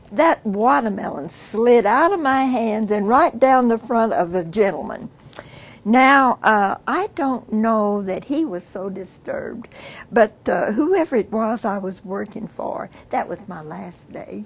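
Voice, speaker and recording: With a Texan accent, a woman speaks fairly slowly at a fairly high pitch, her intonation lively. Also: big swings in loudness. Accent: Texan Southern US. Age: 80s+. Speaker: family elder interviewee. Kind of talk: family oral history interview. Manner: halting with frequent fillers.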